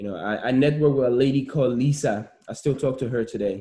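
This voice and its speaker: This man's dark, mellow tone moves at a moderate pace with ordinary pitch variation. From Liberia. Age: 30s. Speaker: immigrant entrepreneur. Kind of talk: interview.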